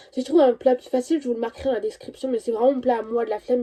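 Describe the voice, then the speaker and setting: Her voice is high-pitched with a dark, mellow tone, and this woman keeps her intonation fairly even. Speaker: vlogger. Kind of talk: casual chat. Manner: fast; halting, stammering.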